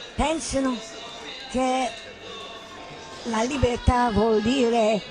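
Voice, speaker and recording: A woman's fairly high voice at a very slow pace, with ordinary pitch variation and music in the background. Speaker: theatre director. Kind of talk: spoken manifesto narration.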